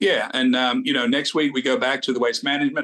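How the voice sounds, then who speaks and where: A man talks at a very fast pace. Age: 60s. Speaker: golf show co-host. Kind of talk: casual chat.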